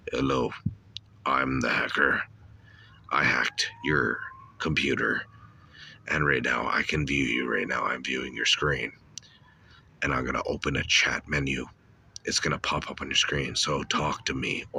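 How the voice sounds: A man puts on a raspy character voice with a very deep, low pitch and a menacing tone. He goes at a moderate pace, with long, frequent pauses.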